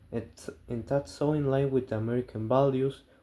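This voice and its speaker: At a moderate pace, a voice with a non-native accent speaks in a dark, mellow tone. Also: man. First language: not English. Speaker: student. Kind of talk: class assignment presentation.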